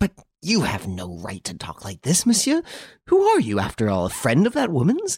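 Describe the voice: In a put-on character voice, a man speaks at a medium pitch and moderate pace with very wide pitch swings, a slightly husky edge and a slightly mellow tone, recorded very cleanly with a silent background and a dry, close sound with no echo.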